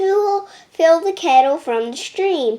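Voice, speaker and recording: This is a put-on character voice, squeaky in sound. The delivery moves at a fairly slow pace. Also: woman, extremely high pitch for a woman. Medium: read story. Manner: patient, practical.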